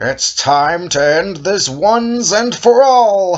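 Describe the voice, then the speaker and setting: A put-on character voice from a man, high in pitch and very slow in pace. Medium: read story. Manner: terse, urgent.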